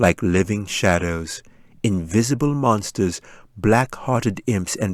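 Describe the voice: Someone is engaged in plain reading aloud.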